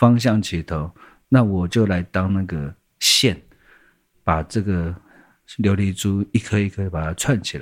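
In a very clean recording with a silent background, a man talks at a fairly slow pace in a very deep, low voice, leaving long, frequent pauses. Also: ordinary pitch variation. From Taiwan, Taipei. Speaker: singer-songwriter. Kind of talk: interview.

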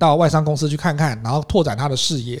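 A man speaks very fast in a fairly high, somewhat breathy voice. The recording is very clean, with a silent background. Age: young. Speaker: podcast co-host, English speaking coach. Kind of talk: casual chat.

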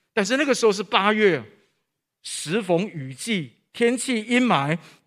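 High-pitched male voice with lively intonation at a fairly slow pace, on a very clean recording with a silent background. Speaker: preacher. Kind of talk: sermon. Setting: church. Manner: formal, earnest preaching, measured and solemn when telling stories; direct and exhortative, addressing the congregation.

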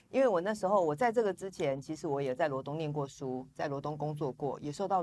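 Very deep and low for a woman, her voice races at a very fast pace with ordinary pitch variation. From Taiwan, Yilan (Luodong). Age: 40s. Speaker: politician, parliamentary candidate. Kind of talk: interview.

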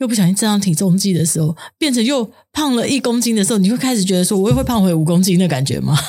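A woman with a dark, mellow tone and somewhat breathy voice speaks at a very fast pace and medium pitch, her intonation lively and her loudness very even. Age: 50s. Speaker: podcast co-host. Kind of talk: casual chat.

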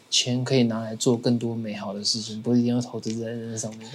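Speaking at a fairly quick pace, a man with a medium pitch delivers his words in a monotone, flat intonation. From Taiwan. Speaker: podcast co-host. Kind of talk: casual chat.

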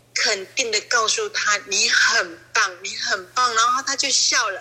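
A woman speaks in a raised, projected voice. Noticeable background noise runs beneath her. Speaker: church member. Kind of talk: testimony. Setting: online call.

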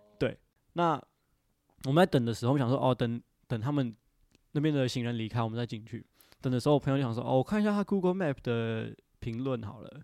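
A man with a Taiwanese accent speaks very fast at medium pitch with lively intonation and long, frequent pauses, the sound dry and close with no echo on a very clean recording with a silent background. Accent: Taiwanese Mandarin. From Taiwan (Indian family, since age 3). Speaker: podcast guest. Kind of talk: casual chat.

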